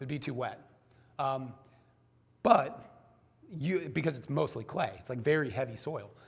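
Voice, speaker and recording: There is audible room echo around this man's voice. His pitch varies in an ordinary way. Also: moderate pace. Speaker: small-scale farmer and speaker. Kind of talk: conference talk with slides. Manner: many fillers, casual.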